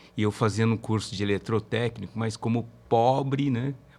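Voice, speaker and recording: On a very clean recording with a silent background, a man speaks at a moderate pace in an ordinary speaking voice with fairly low pitch. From Brazil, São Paulo interior. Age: 60s. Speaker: safety engineer and labour court expert, professor. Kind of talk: podcast interview.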